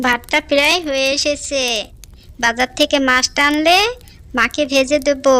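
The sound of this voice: In a cartoonish character voice, a female-sounding speaker talks at a high pitch and a fairly slow pace.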